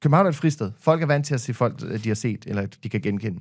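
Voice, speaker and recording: Against a quiet background, a man talks at a very fast pace. His intonation is lively. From Denmark. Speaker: podcaster and media personality; podcaster. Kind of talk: casual chat. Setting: studio. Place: studio. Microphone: studio mic.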